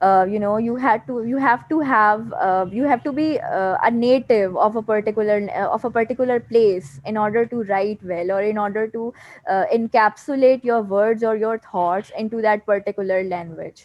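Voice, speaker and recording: A woman with a Pakistani accent and ordinary pitch variation. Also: fairly high pitch for a woman, moderate pace. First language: Urdu. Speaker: poet and author. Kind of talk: interview. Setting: video call. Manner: halting, many fillers.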